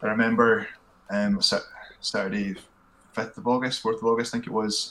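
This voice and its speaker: A man with a Scottish accent speaks over noticeable background noise. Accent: Scottish (Fife). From Scotland, Fife (Glenrothes). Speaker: podcast guest, hillwalker. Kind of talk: casual chat.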